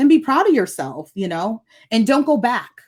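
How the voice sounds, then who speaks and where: A woman with an American accent talks at a moderate pace, animated in tone with lively intonation. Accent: northern US, noticeable in the South. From northern US. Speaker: nurse and wellness coach. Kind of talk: podcast interview.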